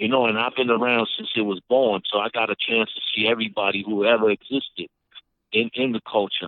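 A man with a New York accent speaks at a fairly quick pace in a monotone, flat intonation. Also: medium pitch for a man. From Brooklyn, New York (Brownsville); Puerto Rican. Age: 50s. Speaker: rapper. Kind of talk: interview. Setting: phone call.

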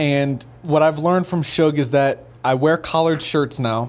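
An unremarkable speaking voice from a man, fairly high in pitch, fairly slow in pace, with ordinary pitch variation. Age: 20s. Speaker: professional boxer. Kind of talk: interview. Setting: studio.

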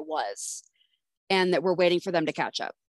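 At a fairly quick pace, a woman talks in a plain, everyday voice at a medium pitch. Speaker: podcast co-host. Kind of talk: casual chat.

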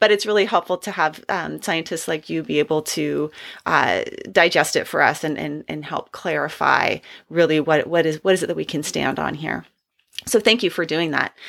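A woman speaks in a very deep, low voice with vocal fry. Her pitch varies in an ordinary way, and the recording is very clean with a silent background. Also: moderate pace. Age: 40s. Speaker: podcast host, clinical psychologist. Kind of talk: interview.

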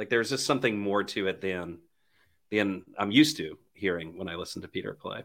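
In a very clean recording with a silent background, a man with a medium pitch and a normal speaking voice talks at a moderate pace. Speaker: podcast host. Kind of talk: casual chat.

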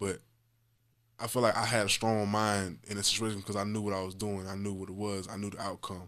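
A man's monotone, flat delivery at a fairly quick pace, fairly low in pitch. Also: very clean recording, silent background. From Jacksonville, Florida (north side). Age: 20s. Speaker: rapper and comedian. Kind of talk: casual interview.

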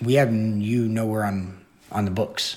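A man is speaking. He has an American accent. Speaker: fitness trainer, interviewee. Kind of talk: interview recounting a story. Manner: casual, rambling, animated.

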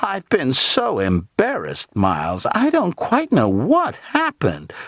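Slow and dry, with a close sound and no echo, a man performs a put-on character voice. His fairly high, fairly bright pitch swings very widely.

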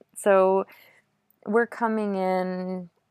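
A woman speaks with an American accent. The recording is very clean, with a silent background and a dry, close sound with no echo. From US, Maine. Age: 30s. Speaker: Olympic biathlete. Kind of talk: interview.

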